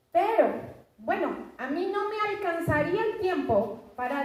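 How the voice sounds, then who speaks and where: Amid audible room echo, a woman speaks at a very slow pace with very wide pitch swings. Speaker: preacher. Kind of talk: sermon.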